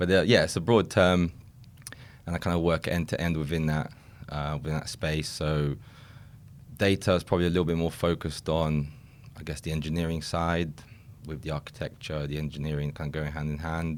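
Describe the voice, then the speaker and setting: On a very clean recording with a silent background, a man with a British accent and a very deep, low pitch talks fairly quickly in a monotone, flat intonation, with long, frequent pauses. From England. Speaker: recruitment consultant. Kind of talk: podcast interview.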